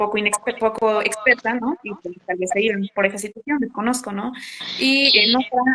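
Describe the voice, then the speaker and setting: Fairly even intonation carries the voice along at a moderate speed. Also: woman. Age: 20s. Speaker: psychologist. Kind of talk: casual interview conversation.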